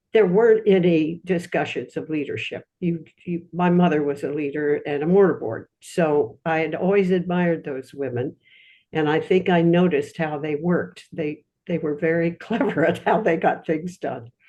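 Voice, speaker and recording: Speaking at a moderate pace, a woman uses a fairly low pitch and a dark, mellow tone with ordinary pitch variation. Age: 90s. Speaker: alumna audience member asking a question. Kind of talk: Q&A remarks in online lecture. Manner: halting, with fillers.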